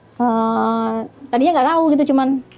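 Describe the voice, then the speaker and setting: With music in the background, a woman speaks at a moderate pace in a high voice showing ordinary pitch variation. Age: 40s. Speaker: interviewee telling life story. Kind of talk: interview testimony. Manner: halting.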